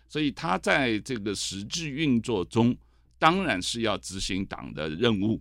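This man's voice sits at a medium pitch and shows vocal fry. His pitch swings very widely, and the recording is very clean with a silent background. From mainland China. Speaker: author and TV host, political commentator. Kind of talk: interview. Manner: hesitant, many fillers.

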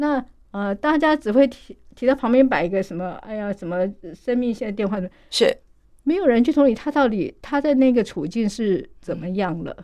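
A woman speaks at a moderate pace with a dark, mellow tone and a fairly high pitch. Her pitch swings very widely. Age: 50s. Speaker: nonprofit association director. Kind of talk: radio interview.

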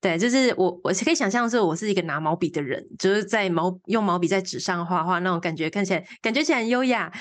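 Against a quiet background, a woman speaks very fast with hardly any pauses, lively intonation and a medium pitch. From Taiwan, Changhua. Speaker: environmental artist and primary school teacher. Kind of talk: interview. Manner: halting, many fillers.

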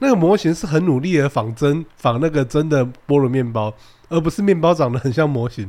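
A man speaks fairly quickly, his pitch fairly high. His tone is dark and mellow, with lively intonation. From Taiwan. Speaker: podcast co-host. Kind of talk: casual chat.

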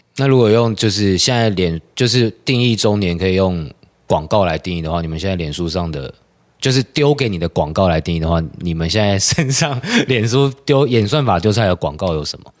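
Lively intonation rides on a fairly quick pace. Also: man, fairly low pitch for a man. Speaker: theatre practitioner. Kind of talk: casual chat.

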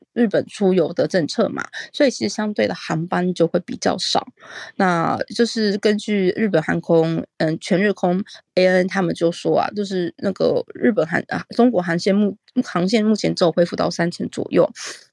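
In a dry, close sound with no echo, a woman speaks with vocal fry and ordinary pitch variation. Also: medium pitch for a woman, moderate pace. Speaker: overseas correspondent in Japan. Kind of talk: news report. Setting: remote call.

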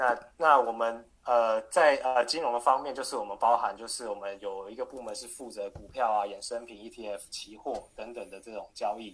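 A man at medium pitch speaks at a moderate pace with hardly any pauses. His intonation is fairly even, but his loudness swings widely. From Taiwan, Taipei. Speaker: financial broker. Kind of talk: interview. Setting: video call.

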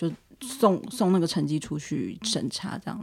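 Intonation runs lively in an unremarkable speaking voice. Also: woman. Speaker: language teacher. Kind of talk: casual chat.

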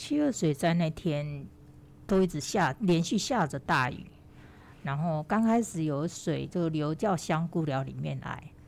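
A woman's very deep, low voice moves at a fairly slow pace with ordinary pitch variation. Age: 50s. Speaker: mature university student and award winner. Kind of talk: interview.

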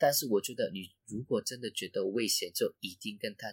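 A man with a Cantonese accent talks at a moderate pace in a dry, close sound with no echo. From Hong Kong. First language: Cantonese (speaking Chinese). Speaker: travel blogger. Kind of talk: casual chat. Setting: residential hallway in Hong Kong. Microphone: roomy, echoey recording.

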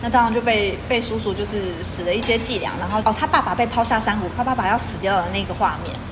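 A woman's fairly high voice, very fast with hardly any pauses and fairly even intonation, amid noticeable background noise and audible room echo. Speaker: teacher. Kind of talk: casual chat. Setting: at a dinner table.

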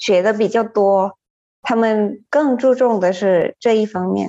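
A woman with a Thai accent, fairly high pitch and lively intonation. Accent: Thai-accented Mandarin. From Thailand, Chiang Mai. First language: Thai (speaking Chinese). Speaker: Chinese translator. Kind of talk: casual chat. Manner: laughs often.

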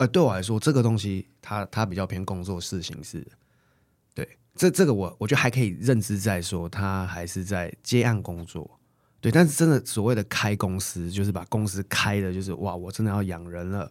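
On a very clean recording with a silent background, a man with a plain, everyday voice speaks at a moderate pace, fairly low in pitch with ordinary variation. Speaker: interior designer. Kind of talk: casual chat.

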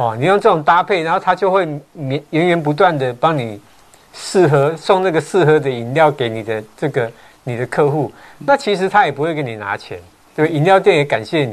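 A man's plain, everyday voice at a fairly quick pace, with lively intonation. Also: fairly high pitch for a man. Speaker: real estate agent, show host. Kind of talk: casual chat. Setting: livestream.

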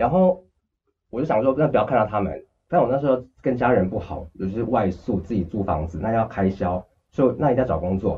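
Somewhat breathy speech moves at a fairly quick pace with lively intonation. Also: man, medium pitch for a man. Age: 30s. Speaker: cancer patient. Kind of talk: interview. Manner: talks freely and at length.

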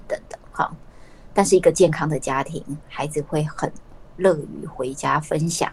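Her loudness swings widely from moment to moment. The woman keeps a moderate pace. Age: 40s. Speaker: university professor of family studies. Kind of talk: interview. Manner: many filler particles and hesitations.

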